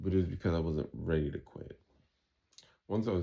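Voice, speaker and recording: A man with a New York accent, a dark, mellow tone, fairly even intonation and a very fast pace. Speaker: vlogger recovering from kratom withdrawal. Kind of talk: casual monologue vlog. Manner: halting, repetitive with fillers.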